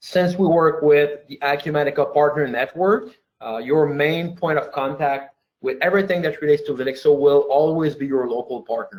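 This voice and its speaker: The speaker has a slight French Canadian accent. Pitch variation is ordinary. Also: man. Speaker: software company founder. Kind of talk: webinar presentation. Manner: hesitant, many fillers.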